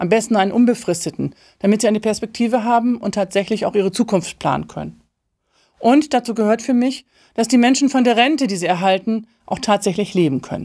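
The voice has a dark, mellow tone, moves at a fairly quick pace with ordinary pitch variation, and sits over a quiet background. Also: woman, fairly high pitch for a woman. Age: 50s. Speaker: political candidate; candidate. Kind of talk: campaign speech. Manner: formal. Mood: earnest, committed. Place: studio.

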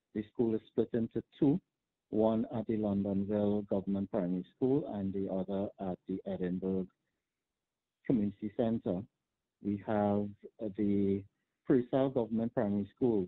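A man with a Trinidadian accent and a fairly low pitch, fairly even in intonation, at a moderate pace with long, frequent pauses. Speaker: teachers' union president. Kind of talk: news interview soundbite, explaining school problems. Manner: measured, with filler words and pauses.

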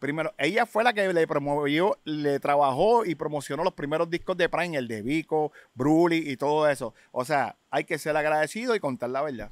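A man with a Puerto Rican accent and a fairly high pitch, ordinary pitch variation, moderate pace with hardly any pauses, dry sound without echo, quiet background. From Puerto Rico, public housing projects. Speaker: rapper and DJ, genre pioneer; DJ. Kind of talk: casual interview. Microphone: studio mic.

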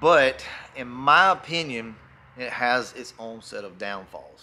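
A man's bright, sharp tone with very wide pitch swings. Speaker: car enthusiast vlogger. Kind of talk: casual vlog chat. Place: garage. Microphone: phone near.

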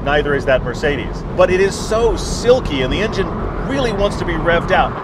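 Amid loud background noise, a man talks at a fairly quick pace in a dry sound with no echo. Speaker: car show host. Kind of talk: car review commentary. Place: car.

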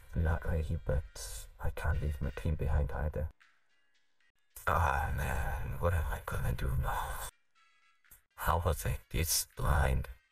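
In a put-on character voice, a man speaks with a very deep, low, raspy pitch at a fairly slow pace, with long, frequent pauses. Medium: machinima. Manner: sarcastic, deadpan under pressure.

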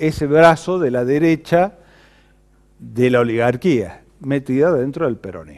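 Over a quiet background, a man speaks in a dark, mellow tone. His intonation is lively. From Argentina. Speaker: political commentator. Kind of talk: political monologue to camera. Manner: animated. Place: studio. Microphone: lapel.

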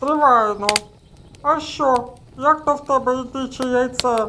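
Put-on character voice, high in pitch, moderately paced. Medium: audio drama. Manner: grumbling, dismissive.

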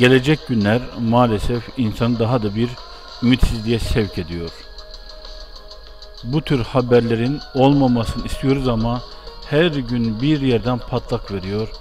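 A man's medium-pitched voice at a fairly slow pace, with ordinary pitch variation, long, frequent pauses and music in the background. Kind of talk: personal commentary on a news story.

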